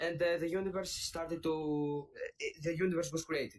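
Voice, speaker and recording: A high-pitched man with a Greek accent. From Greece. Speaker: caller. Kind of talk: debate. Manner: halting.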